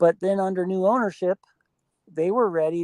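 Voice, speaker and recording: This woman talks at a fairly quick pace in a fairly low pitch. She has an Ohio accent and fairly even intonation. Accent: Midwestern US (Ohio). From Ohio, south of Akron. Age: 60s. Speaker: Bigfoot researcher. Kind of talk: interview. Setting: live stream.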